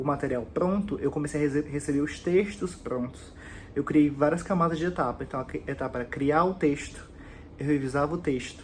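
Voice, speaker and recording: The man's voice is somewhat breathy and fairly high, moving at a moderate pace with ordinary pitch variation. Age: 20s. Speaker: job applicant, communications writer. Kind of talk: application video presentation. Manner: hesitant, many fillers.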